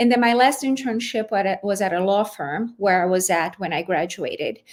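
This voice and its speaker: With a Portuguese accent, a woman speaks at a moderate pace. Her pitch is medium, with ordinary variation. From Brazil. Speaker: lawyer, former general counsel. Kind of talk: interview podcast.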